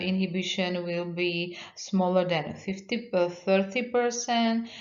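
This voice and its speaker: The woman speaks at medium pitch with a non-native accent. Audible room echo surrounds her voice. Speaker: university researcher. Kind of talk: lecture. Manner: halting.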